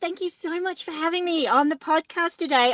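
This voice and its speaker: A woman uses a raised, projected voice with a bright, sharp tone. The sound is dry and close, with no echo. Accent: Australian. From Australia. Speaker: extreme sports athlete and keynote speaker. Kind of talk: interview podcast.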